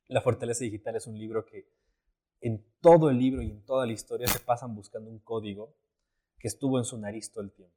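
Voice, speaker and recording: Very fast man at a medium pitch, dark and mellow in tone, with fairly even intonation, big swings in loudness and a dry, close sound with no echo. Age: 20s. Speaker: photographer and actor. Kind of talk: casual chat.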